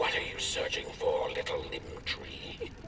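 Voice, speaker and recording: Using a put-on character voice, a man speaks at a fairly slow pace in an extremely high, guttural pitch, with clear echo and loud background noise. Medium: machinima. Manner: cackling, cryptic.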